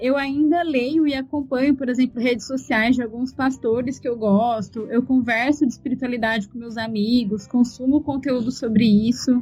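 A woman speaks with a high pitch and a dark, mellow tone. Her pace is moderate. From Brazil, interior of São Paulo state. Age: 20s. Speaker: podcaster and user experience researcher. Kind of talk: interview.

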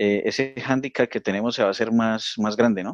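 A man with a plain, everyday voice and fairly even intonation. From Colombia. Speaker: software developer and podcast host. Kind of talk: casual chat.

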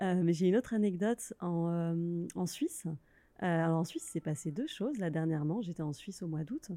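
A woman's fairly low voice with a dark, mellow tone at a moderate pace. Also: ordinary pitch variation. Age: 30s. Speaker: freelance workshop facilitator. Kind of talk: interview.

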